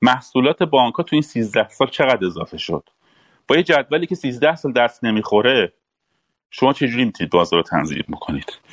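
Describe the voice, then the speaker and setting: A man with a medium-pitched voice and vocal fry talks at a very fast pace, his pitch swinging very widely. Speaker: former central bank official, panel guest. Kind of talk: panel discussion.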